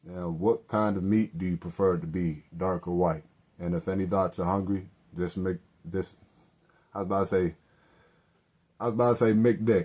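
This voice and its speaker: With a dark, mellow tone, a man speaks at a moderate pace, leaving long, frequent pauses. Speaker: podcast host. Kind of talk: casual solo podcast monologue. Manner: halting, stammering.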